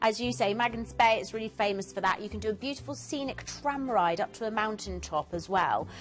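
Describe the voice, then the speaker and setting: A woman's medium-pitched voice with very wide pitch swings, fairly quick pace and hardly any pauses, with music in the background. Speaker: cruise travel expert on TV shopping show. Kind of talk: TV travel sales presentation. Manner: fast; animated.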